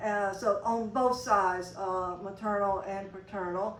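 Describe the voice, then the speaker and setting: Audible room echo surrounds a woman whose voice sits at a medium pitch. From Mississippi Delta. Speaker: longtime community organization member. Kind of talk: oral history interview. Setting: convention interview. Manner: halting, many fillers.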